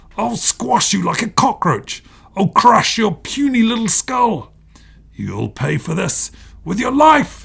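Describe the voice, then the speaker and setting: Putting on a growling character voice, a man speaks fairly slowly at a high pitch. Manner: angry, shouting, threatening.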